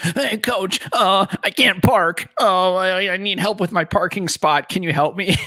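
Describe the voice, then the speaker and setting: Putting on a whiny character voice, a man talks at a fairly slow pace with high pitch, fairly even intonation and hardly any pauses. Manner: sniveling, whiny.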